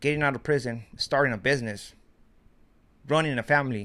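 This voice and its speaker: A man's fairly high, bright, sharp voice at a fairly quick pace with ordinary pitch variation, in a very clean recording with a silent background. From Mexico. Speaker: YouTuber, commentary. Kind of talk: casual vlog commentary.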